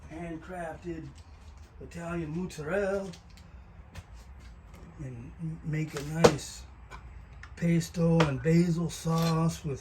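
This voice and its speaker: The man's speech moves at a very slow pace. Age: 70s. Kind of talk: casual talk to camera. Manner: casual, rambling, humorous.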